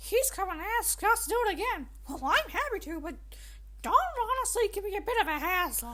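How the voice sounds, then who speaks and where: The speaker uses a put-on character voice. The delivery runs at a fairly quick pace. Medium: solo performance. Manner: garbled, hard to understand.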